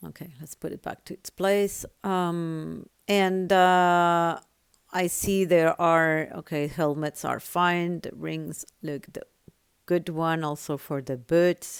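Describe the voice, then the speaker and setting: At a very slow pace, a woman with a non-native accent speaks at a fairly low pitch with fairly even intonation but big swings in loudness. The recording is very clean, with a silent background. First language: not English. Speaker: gaming tutorial creator. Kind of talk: tutorial.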